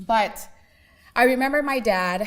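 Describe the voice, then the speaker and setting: This woman has an American accent. Her intonation stays lively throughout. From Seattle, US (Laotian refugee family). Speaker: community speaker. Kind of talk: personal testimony talk.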